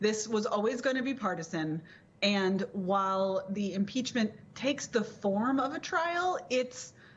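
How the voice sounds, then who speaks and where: A woman's somewhat breathy, medium-pitched voice, fairly slow and with lively intonation. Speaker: political commentator, guest on TV show. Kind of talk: TV panel discussion answer.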